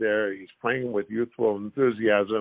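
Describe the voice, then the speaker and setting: At a moderate pace, a man with a plain, everyday voice speaks at medium pitch with fairly even intonation. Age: 60s. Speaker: former pro basketball player. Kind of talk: podcast interview.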